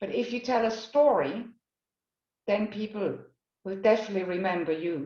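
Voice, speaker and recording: A woman with a Swiss German accent. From Switzerland, Basel. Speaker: career coach. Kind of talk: workshop talk. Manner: halting.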